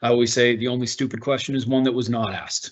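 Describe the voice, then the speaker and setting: In a Boston accent, a man talks at a very fast pace and medium pitch. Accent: Boston American. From US Northeast, Boston. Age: 30s. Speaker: workplace integration officer. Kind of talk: online presentation. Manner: animated.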